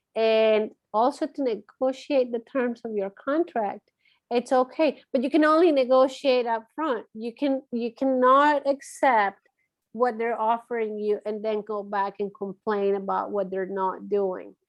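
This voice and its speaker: The speaker has a Latin American accent. The pace is fairly slow. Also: woman, fairly high pitch for a woman, ordinary pitch variation. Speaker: marketing firm owner. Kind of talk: interview conversation. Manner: hesitant, many fillers.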